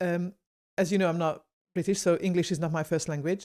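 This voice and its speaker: A woman's fairly low, dark, mellow voice with a Hungarian accent, on a very clean recording with a silent background. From Hungary. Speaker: podcast host. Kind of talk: podcast interview.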